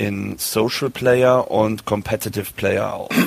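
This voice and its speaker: This man has a plain, everyday voice at a medium pitch, with fairly even intonation. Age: 40s. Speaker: golf professional. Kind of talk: casual chat.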